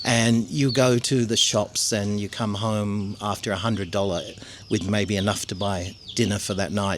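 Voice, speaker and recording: Pitched fairly low, this man talks at a middling tempo with fairly level intonation. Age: 60s. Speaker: expat retiree. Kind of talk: interview. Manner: halting.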